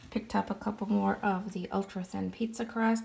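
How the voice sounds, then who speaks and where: A woman's somewhat breathy voice at a medium pitch. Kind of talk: casual haul voiceover.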